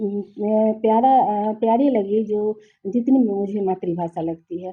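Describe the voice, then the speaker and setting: This woman speaks with a Nepali accent. Her intonation is lively. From Nepali-speaking background. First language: Nepali (speaking Hindi). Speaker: literary translator. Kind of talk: interview. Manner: halting.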